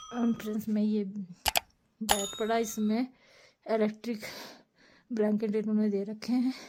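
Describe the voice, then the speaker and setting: A woman speaks very slowly in a fairly high, somewhat breathy voice, dark and mellow in tone, with monotone, flat intonation. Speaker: travel vlogger. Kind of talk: travel vlog narration.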